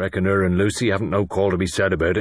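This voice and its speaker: In a put-on character voice, a man speaks very fast with a very deep, low pitch, a shaky sound, monotone, flat intonation and very even loudness. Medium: read story.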